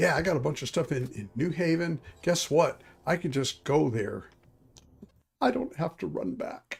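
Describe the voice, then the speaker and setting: A man with a fairly high pitch and vocal fry speaks at a moderate pace, his pitch swinging very widely. He leaves long, frequent pauses. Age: 60s. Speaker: gaming streamer. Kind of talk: casual chat. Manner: halting.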